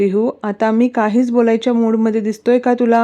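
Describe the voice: Unadorned reading aloud.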